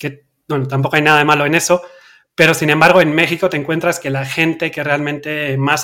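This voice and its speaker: Speaking with a Basque accent, a man has a bright, sharp tone and monotone, flat intonation. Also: very clean recording, silent background. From Basque Country, Spain. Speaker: crypto trader, company cofounder. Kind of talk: interview.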